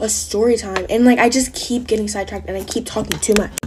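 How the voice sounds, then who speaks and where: A woman's fairly high voice rattles along at a very fast pace, with noticeable background noise behind it. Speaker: content creator. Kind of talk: storytime monologue.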